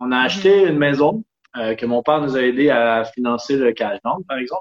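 Speaking at a moderate pace with lively intonation, a man has a fairly high pitch and a plain, everyday voice. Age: 30s. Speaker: sailor and traveler. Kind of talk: casual interview.

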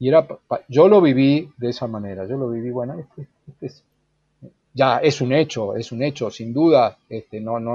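Medium-pitched male voice with ordinary pitch variation. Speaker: journalist, writer and human rights lawyer. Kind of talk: interview. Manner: halting, with many fillers.

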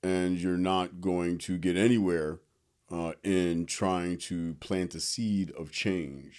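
On a very clean recording with a silent background, a man with an American accent speaks very slowly in a very deep, low pitch with fairly even intonation. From Philadelphia, US. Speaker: comedian. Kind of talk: casual interview chat. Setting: in person at host's place.

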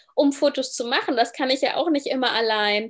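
This woman's high voice shows ordinary pitch variation. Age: 20s. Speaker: travel and lifestyle blogger. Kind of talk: interview, casual chat.

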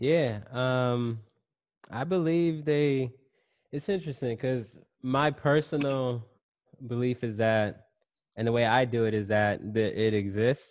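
At a fairly slow pace with long, frequent pauses, a man talks at a medium pitch with ordinary pitch variation. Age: 30s. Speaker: entrepreneur and self-published author. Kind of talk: casual chat.

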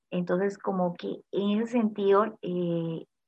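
A woman speaks in a plain, everyday voice at medium pitch with fairly even intonation. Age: 30s. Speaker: entrepreneur and industrial engineer. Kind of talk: interview.

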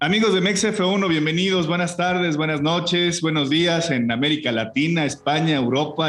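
A man with a Mexican accent speaks at a moderate pace in a fairly high pitch with ordinary pitch variation, amid noticeable background noise and audible room echo. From Mexico. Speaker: motorsport podcast host. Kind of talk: casual chat.

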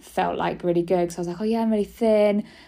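In a very clean recording with a silent background, a woman with a British accent speaks at a medium pitch in a dark, mellow tone with fairly even intonation. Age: 30s. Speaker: podcast host, cancer survivor. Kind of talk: casual personal monologue. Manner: chatty, rambling with fillers.

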